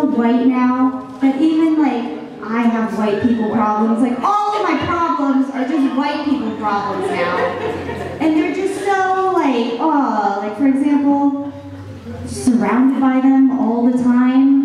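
Someone speaks very slowly with an American accent and lively intonation. The room echoes strongly, and light background noise is present. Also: woman, high pitch for a woman. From Virginia, US East Coast. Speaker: stand-up comedian. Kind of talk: stand-up. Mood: wry, self-deprecating humor. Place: hall.

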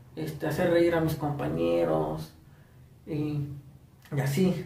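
Speaking at a very slow pace, a man's voice carries an audible room echo. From Morelos, Mexico. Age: 20s. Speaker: first-time vlogger. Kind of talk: casual talk to camera. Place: home room. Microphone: phone near.

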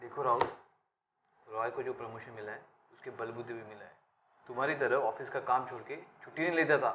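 Big swings in loudness at a moderate pace, over noticeable background noise. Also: man. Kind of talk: scripted drama dialogue. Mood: stern, reproachful. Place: office.

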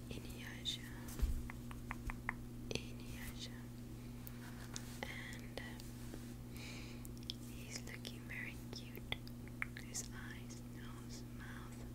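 Whispering and soft-spoken, a woman talks very slowly with long, frequent pauses. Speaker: ASMR creator. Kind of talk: soft ASMR show-and-tell. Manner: soft close-mic ASMR whisper. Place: home room. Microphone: earbuds.

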